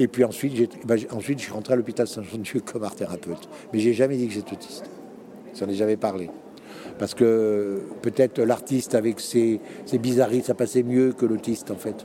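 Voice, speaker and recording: Noticeable background noise sits under speech that runs fairly quickly. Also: man, medium pitch for a man, fairly even intonation. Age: 60s. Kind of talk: interview. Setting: conference venue.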